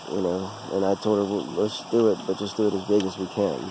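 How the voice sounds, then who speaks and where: A man speaks at a fairly low pitch with fairly even intonation. The sound is dry with no echo, and background noise is noticeable. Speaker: vlogger telling life story. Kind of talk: casual vlog chat. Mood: relaxed, personal storytelling. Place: forest. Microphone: phone near.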